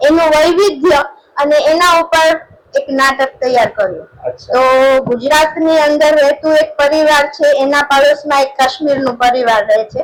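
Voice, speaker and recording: Ordinary pitch variation in a woman's high voice. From Gujarat, Jamnagar district. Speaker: writer and teacher. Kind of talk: interview.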